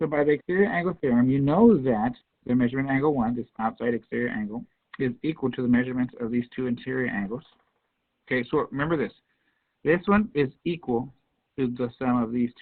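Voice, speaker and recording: Very fast speech from a man at medium pitch, with ordinary pitch variation. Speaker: math teacher. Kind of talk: classroom lecture.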